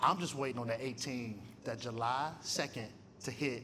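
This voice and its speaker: A man talks in an animated tone with an American accent. Room echo is audible. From Michigan. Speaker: theology professor and guest speaker. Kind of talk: testimony talk at a luncheon. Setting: luncheon with live audience. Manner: animated, conversational.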